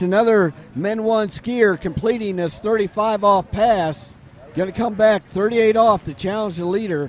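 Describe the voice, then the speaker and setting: Against noticeable background noise, a man with a high pitch speaks at a fairly slow pace with ordinary pitch variation. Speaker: sports commentator. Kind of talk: live commentary. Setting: live webcast at lakeside event.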